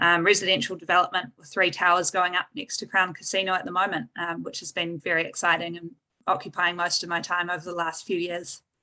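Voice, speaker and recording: A woman with a New Zealand accent talks very fast in a bright, sharp tone, fairly low in pitch, with fairly even intonation and big swings in loudness. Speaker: structural engineer. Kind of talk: panel discussion.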